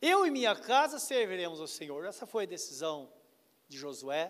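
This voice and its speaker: The man speaks at a fairly slow pace, with very wide pitch swings. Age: 60s. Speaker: pastor. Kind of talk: sermon.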